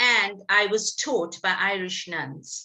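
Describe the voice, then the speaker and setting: A woman's bright, sharp tone at a very slow pace. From South Africa, Pietermaritzburg. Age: 60s. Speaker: businesswoman and speaker. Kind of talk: presentation. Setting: women's business coffee event. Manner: formal, precise diction.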